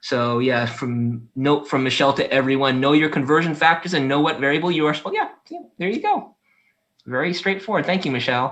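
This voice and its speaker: Ordinary pitch variation runs through speech delivered at a fairly quick pace. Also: man, fairly high pitch for a man. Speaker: lab instructor. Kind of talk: online class review session. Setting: video call. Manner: fast.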